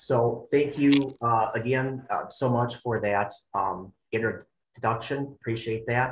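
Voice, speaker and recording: A somewhat breathy man at a medium pitch, with fairly even intonation, a very slow pace and hardly any pauses. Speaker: extension educator and personal trainer. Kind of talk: webinar presentation. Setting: online webinar. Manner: halting, many fillers and repetitions.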